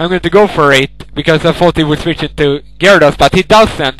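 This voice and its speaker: A man with a fairly high voice and ordinary pitch variation speaks at a moderate speed against noticeable background noise. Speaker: gaming video narrator. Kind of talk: live gameplay commentary. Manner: casual, halting with repeats.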